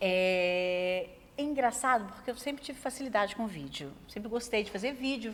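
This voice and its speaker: Speaking at a fairly high pitch, a woman uses lively intonation and big swings in loudness. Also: moderate pace. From Brazil, Minas Gerais (Zona da Mata). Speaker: journalist, TV news director. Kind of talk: interview.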